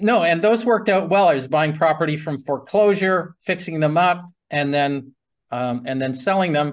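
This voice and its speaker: Fairly high male voice with a Canadian accent, ordinary pitch variation and a moderate pace over a quiet background. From Canada. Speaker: real estate investing educator. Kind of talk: interview. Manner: long-winded.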